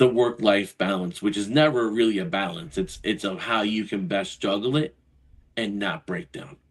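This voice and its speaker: Lively in intonation, a man talks at a moderate pace with a fairly low pitch. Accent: American. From New York, Brooklyn. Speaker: financial advisor and Marine veteran. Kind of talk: podcast interview. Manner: animated, conversational.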